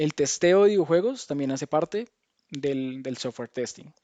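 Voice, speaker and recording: A man speaks with a Colombian accent. His pitch is fairly high, with ordinary variation. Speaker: game tester, speaker. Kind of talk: lecture. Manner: hesitant, many fillers and restarts.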